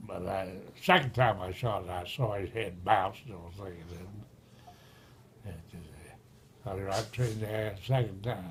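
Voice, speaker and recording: A man's fairly low, somewhat breathy voice at a moderate pace, with fairly even intonation, big swings in loudness, and long, frequent pauses. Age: 80s+. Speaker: retired railroad engineer. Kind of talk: storytelling, casual conversation.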